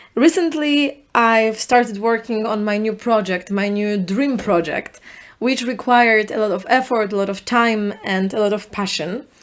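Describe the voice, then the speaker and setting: A woman speaks with a Polish accent at a fairly high pitch, with ordinary pitch variation. She leaves hardly any pauses. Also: moderate pace, very clean recording, silent background. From Poland. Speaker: podcast host. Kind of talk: solo podcast monologue.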